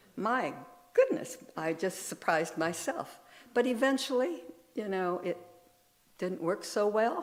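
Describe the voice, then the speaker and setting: Audible room echo surrounds a woman who talks at a fairly slow pace. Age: 70s. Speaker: minister. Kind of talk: sermon.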